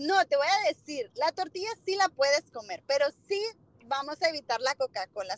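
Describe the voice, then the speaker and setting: A woman's voice with lively intonation comes through a dry, close recording with no echo. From Honduras, Tegucigalpa. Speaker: small business owner selling supplements. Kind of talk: casual interview with sales pitch.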